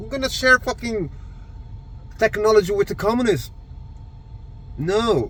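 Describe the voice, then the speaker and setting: A man speaks with a Brazilian Portuguese accent. His pace is moderate. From Brazil, east zone of São Paulo. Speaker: army veteran vlogger. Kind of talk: political rant. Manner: halting; animated.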